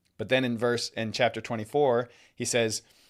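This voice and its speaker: A man's medium-pitched voice with fairly even intonation, on a very clean recording with a silent background. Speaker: Bible teacher. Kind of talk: livestream Bible teaching. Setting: livestream. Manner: fast; halting with fillers.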